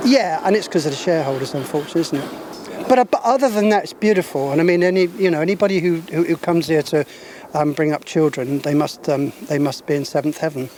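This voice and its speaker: A man rattles off words very fast in a fairly high voice, with noticeable background noise behind him. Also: ordinary pitch variation. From London and Isle of Wight, England. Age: 70s. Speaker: local resident, street interviewee. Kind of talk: street interview. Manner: hesitant, many fillers.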